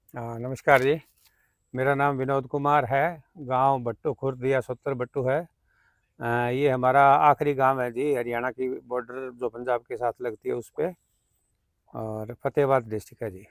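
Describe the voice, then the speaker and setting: This is an ordinary speaking voice from a man with a medium pitch and fairly even intonation. The sound is dry and close, with no echo. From Haryana, Fatehabad district (Punjab border). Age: 60s. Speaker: farmer and civil engineer. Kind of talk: interview.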